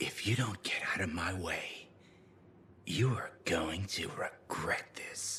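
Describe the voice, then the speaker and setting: In a whispered, put-on character voice, a man speaks at a fairly slow pace. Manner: threatening, cold.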